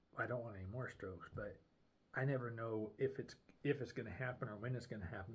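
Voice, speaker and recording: Medium pitch and fairly even intonation from a man with a somewhat breathy voice. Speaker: video diarist with brain injury. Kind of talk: personal video journal. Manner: slurred at times; halting, many fillers.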